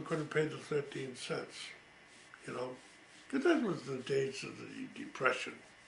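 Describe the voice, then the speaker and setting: A man talks at a fairly high pitch with big swings in loudness. The room echo is audible. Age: 80s+. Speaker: family elder telling life stories. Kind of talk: oral history recollection. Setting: home recording. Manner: hesitant with frequent fillers.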